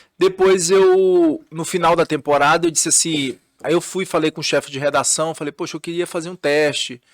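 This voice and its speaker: On a very clean recording with a silent background, a man with a high pitch and fairly even intonation sounds dry and close, with no echo. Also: moderate pace. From northern Brazil, Belém, Pará. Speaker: TV journalist and news anchor. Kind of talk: casual podcast interview.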